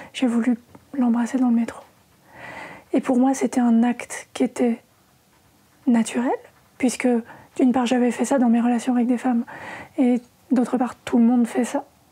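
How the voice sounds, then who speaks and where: Against noticeable background noise, a woman with a high pitch speaks at a moderate pace in a monotone, flat way, with long, frequent pauses. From France, Normandy. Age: 40s. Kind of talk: interview conversation. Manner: hesitant, many fillers.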